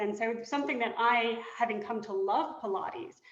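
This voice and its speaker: A woman talks at a fairly quick pace with fairly high pitch and fairly even intonation. Noticeable background noise and audible room echo are present. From Britain. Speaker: board candidate, law professor. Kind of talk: candidate introduction in a webinar. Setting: webinar.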